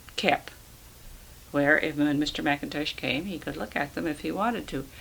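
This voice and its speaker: With a US Midwestern accent, a woman speaks in a very deep, low voice, leaving long, frequent pauses and swinging greatly in loudness. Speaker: retired schoolteacher. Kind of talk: oral history interview. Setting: at home.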